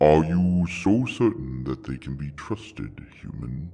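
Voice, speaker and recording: Using a put-on character voice, a man speaks with a very deep, low pitch. The pace is fairly slow. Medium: audio drama. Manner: grandiose, formal.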